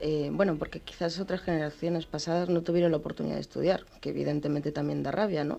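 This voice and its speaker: A woman talks at a very fast pace in a dark, mellow tone. Her intonation is fairly even. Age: 30s. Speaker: comic artist. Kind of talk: interview. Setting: remote radio studio.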